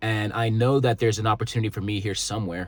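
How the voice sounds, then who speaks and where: In a Canadian accent, a man talks very fast with an animated tone on a very clean recording with a silent background. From Canada. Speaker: motivational vlogger. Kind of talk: casual vlog monologue. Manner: animated, stumbling over words.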